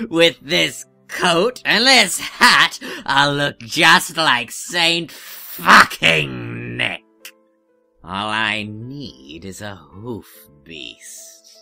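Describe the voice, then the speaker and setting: A put-on character voice, low in pitch and very slow, with faint music in the background. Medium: audio drama. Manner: sneering, scheming.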